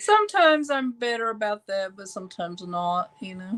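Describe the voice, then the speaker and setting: A woman with a fairly high pitch speaks in an ordinary speaking voice, with a dry, close sound and no echo. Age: 60s. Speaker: artist and YouTuber. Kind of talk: casual interview chat.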